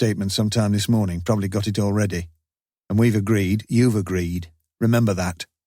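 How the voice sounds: Quiet background behind a natural reading voice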